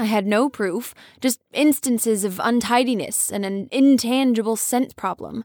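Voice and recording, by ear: The speaker is reading aloud in a natural voice, and the pitch shows ordinary variation.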